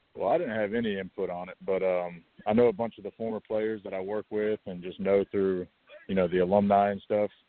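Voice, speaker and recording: Someone with a Georgia accent talks at a fairly quick pace. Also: man, fairly low pitch for a man, fairly even intonation. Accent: US Southern (Georgia). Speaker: college football coach, former college player. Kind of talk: interview.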